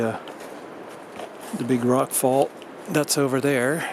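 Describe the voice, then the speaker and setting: Noticeable background noise sits behind a man of medium pitch who keeps his intonation fairly even. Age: 60s. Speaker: hiking vlogger. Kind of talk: casual vlog narration. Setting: outdoors on a hiking trail. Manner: hesitant, many fillers.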